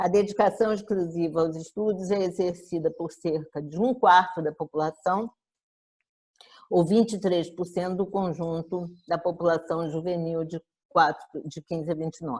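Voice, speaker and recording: A woman with a normal speaking voice talks fairly low in pitch, keeping a moderate pace and a fairly even intonation. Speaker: professor of education. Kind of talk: lecture.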